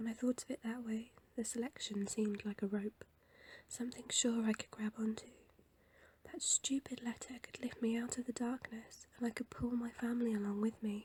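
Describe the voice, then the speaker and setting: A soft-spoken woman talks at a moderate pace in a fairly high, monotone, flat voice. The sound is dry and close, with no echo. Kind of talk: audiobook reading.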